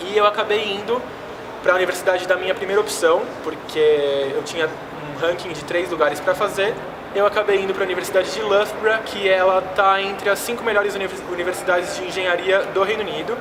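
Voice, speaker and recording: Amid noticeable background noise and audible room echo, a man speaks at a fairly quick pace in a high, monotone, flat voice. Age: 20s. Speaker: exchange student. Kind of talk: personal vlog testimony.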